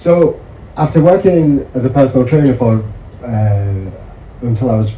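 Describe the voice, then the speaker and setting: A man with a Yorkshire accent talks in a room with audible echo and noticeable background noise. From northern England, Yorkshire (Mirfield). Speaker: medical researcher. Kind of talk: seminar talk.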